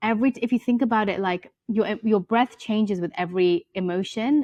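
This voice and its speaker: With a British accent, a woman speaks in fairly even intonation over a dry, close sound with no echo. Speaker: yoga teacher and author. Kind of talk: podcast interview. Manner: fast.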